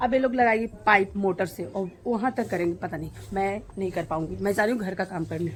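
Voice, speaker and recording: Here a woman speaks at a moderate pace, her medium pitch showing ordinary variation. Her voice is somewhat breathy. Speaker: vlogger. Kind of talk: casual vlog.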